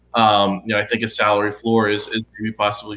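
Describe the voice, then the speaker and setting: An American accent from a man with medium pitch. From western Pennsylvania. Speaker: sports journalist. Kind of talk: casual sports talk. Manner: hesitant, filler-heavy. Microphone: webcam.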